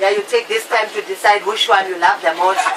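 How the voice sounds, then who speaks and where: Over crowd noise in the background, a woman with a fairly high pitch talks at a fairly quick pace in a playful tone. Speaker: flight attendant. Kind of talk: in-flight safety announcement. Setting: PA system. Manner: humorous, playful.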